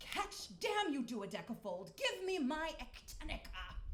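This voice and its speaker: Over clear background noise, a woman growls in a put-on character voice, extremely high-pitched and furious in tone, with very wide pitch swings and a fairly slow pace. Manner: demanding, greedy, furious.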